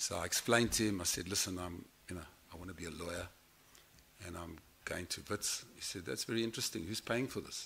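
A man with a very deep, low pitch and a bright, sharp tone speaks at a very fast pace with ordinary pitch variation and long, frequent pauses over light background noise. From South Africa. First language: German. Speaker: guest. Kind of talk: personal speech. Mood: reflective, wry storytelling. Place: hall. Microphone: podium.

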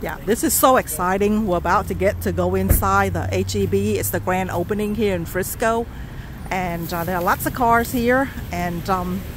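The sound is dry with no echo, though there is noticeable background noise. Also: woman, moderate pace. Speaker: vlogger. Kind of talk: casual vlog chat. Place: street. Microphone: phone near.

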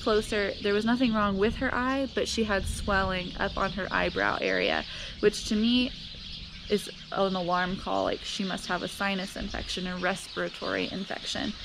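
Over noticeable background noise, a woman speaks at a moderate pace with fairly even intonation. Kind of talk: casual vlog chat. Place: garden. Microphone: phone near.

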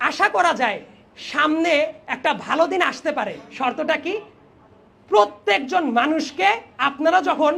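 A man speaks in an extremely high pitch with ordinary pitch variation. His voice is raised and projected. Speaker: invited debate speaker. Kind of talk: prepared debate speech.

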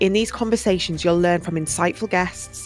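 With fairly even intonation at a medium pitch, a woman talks as music plays in the background. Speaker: wellbeing and lifestyle coach, podcast host. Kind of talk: podcast intro.

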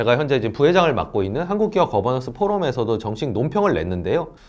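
A man talks with vocal fry. His pitch swings very widely. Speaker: asset management CEO, value investor. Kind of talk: to-camera monologue. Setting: in front of a camera, recorded video.

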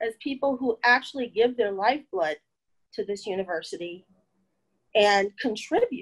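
A woman speaks with a fairly high pitch and lively intonation. The background is quiet. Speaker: staff union president. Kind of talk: panel discussion. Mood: earnest, frustrated, personal testimony. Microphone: video call.

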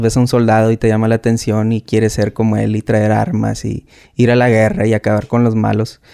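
A man talks at a moderate pace in a dark, mellow tone. The background is quiet. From Mexico, Tijuana, Baja California; Baja California, Mexico. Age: 30s. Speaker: war veteran; guest. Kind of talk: interview. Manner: hesitant, many fillers. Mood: calm, reflective. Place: studio. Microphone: studio mic.

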